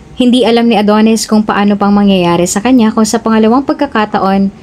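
Fairly even intonation in a natural reading voice

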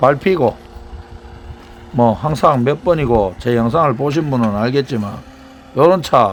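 A man with a strong Gyeongsang accent speaks at a fairly slow pace with lively intonation over noticeable background noise. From Daegu, Gyeongsang region. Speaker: tow truck driver. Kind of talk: casual narration of work video. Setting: outdoors.

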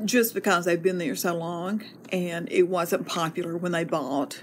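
A woman speaks at a moderate pace in a fairly low pitch. There is noticeable background noise. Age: 70s. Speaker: homeowner interviewee. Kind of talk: research interview.

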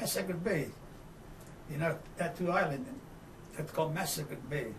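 Amid noticeable background noise, a man talks at a moderate pace in a high voice with ordinary pitch variation. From Italy. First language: Italian. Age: 80s+. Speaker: war veteran. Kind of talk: oral history interview. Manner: halting.

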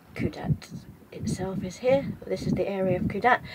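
Woman at a medium pitch, slightly mellow in tone, moderate pace and ordinary pitch variation

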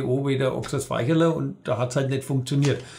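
A man talks at a fairly high pitch in a somewhat breathy voice. His pace is moderate, with ordinary pitch variation, over a quiet background. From Franconia. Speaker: dialect cabaret artist. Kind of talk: interview answer. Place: studio.

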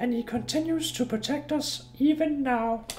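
A man's put-on character voice, extremely high in pitch, at a moderate pace over clear background noise. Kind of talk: comic game dub, exaggerated old-man voice. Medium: game stream. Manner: solemn, reflective, with a jolly laugh.

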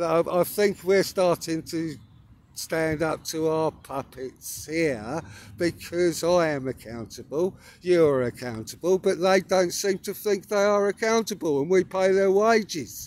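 With an English accent, a man speaks at a fairly slow pace in a high pitch with lively intonation, the sound dry with no echo. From England. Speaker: spiritual vlogger. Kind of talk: casual monologue. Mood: earnest, emphatic. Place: open country. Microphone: phone near.

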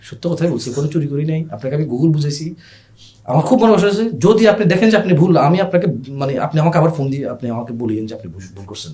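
Very wide pitch swings mark the man's fairly high voice. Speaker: online food seller. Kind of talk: podcast interview storytelling. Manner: loud; animated.

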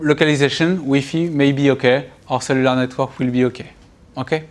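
This man speaks with a French accent at a fairly high pitch. His intonation stays fairly even. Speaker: university computer science lecturer. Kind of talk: recorded university lecture. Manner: hesitant, many filler sounds. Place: classroom.

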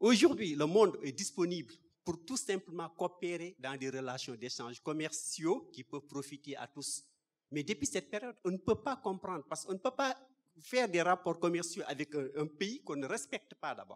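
A man's high-pitched voice at a moderate pace, with very wide pitch swings and big swings in loudness. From Senegal. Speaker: audience member. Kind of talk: audience question. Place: hall.

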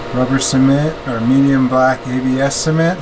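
Noticeable background noise behind a man speaking at a fairly slow pace. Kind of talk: casual tutorial narration. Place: garage. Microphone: phone near.

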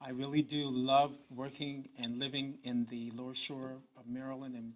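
A man speaks in a bright, sharp tone with monotone, flat intonation. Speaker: cultural researcher. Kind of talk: acceptance speech. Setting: stage with audience. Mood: warm, grateful. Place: hall. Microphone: podium.

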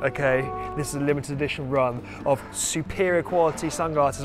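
Over clear background music, a man speaks at a fairly quick pace with ordinary pitch variation. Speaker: channel host. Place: street.

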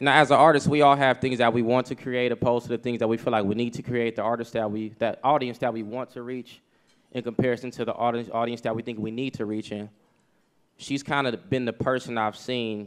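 The background is quiet as a man speaks at a very fast pace. His intonation stays monotone and flat. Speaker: presenter. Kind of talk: award presentation speech. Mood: casual, joking. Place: hall. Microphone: podium.

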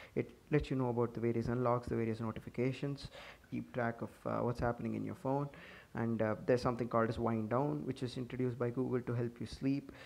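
Mumbling at a very fast pace, a man speaks at a medium pitch with fairly even intonation. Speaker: tech YouTuber. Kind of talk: casual tech review to camera. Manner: hurried, some mumbling.

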